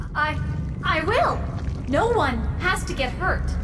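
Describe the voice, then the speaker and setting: Amid loud background noise, a female-sounding voice in a put-on character voice speaks at a fairly slow pace. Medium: machinima. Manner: gentle, hesitant.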